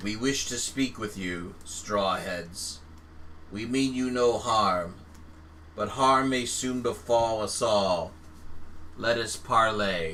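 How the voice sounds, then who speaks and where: A man's resonant, put-on character voice at a fairly low pitch, very slow pace and long, frequent pauses, with clear background noise. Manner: formal, parleying.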